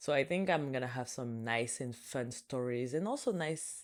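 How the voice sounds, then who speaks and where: A woman speaks with a non-native accent. The recording is very clean, with a silent background. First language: French. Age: 20s. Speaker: podcast host. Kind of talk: casual solo podcast talk.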